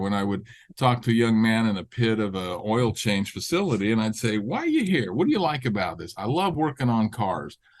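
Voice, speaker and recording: A man's medium-pitched voice at a very fast pace, with lively intonation and a quiet background. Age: 60s. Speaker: auto repair business owner. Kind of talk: podcast interview. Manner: halting.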